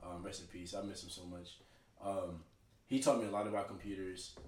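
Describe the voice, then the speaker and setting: A fairly low-pitched man with an American accent talks at a very fast pace with fairly even intonation, amid audible room echo and noticeable background noise. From Texas (Dallas, Oak Cliff) and Tulsa, Oklahoma. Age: 20s. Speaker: army veteran. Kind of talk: casual chat.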